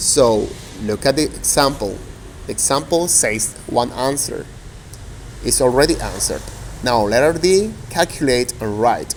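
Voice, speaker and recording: A man talks at a fairly slow pace with long, frequent pauses over noticeable background noise. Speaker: teacher. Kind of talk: demo lesson.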